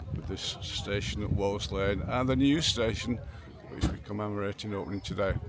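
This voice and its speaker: Noticeable background noise sits behind a man with a Derbyshire accent. His pitch is fairly low with ordinary variation, and his pace is fairly quick. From Derbyshire, England. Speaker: morris dancing team leader. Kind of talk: casual interview.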